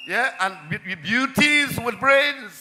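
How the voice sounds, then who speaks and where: A man speaks in a raised, projected voice with ordinary pitch variation. Noticeable background noise runs underneath. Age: 70s. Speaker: local councillor. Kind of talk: political rally speech.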